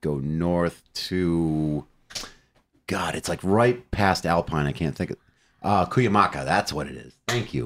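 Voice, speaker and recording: A man speaks with ordinary pitch variation. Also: very clean recording, silent background. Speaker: metal musician and songwriter. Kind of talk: casual interview. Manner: blunt, profane.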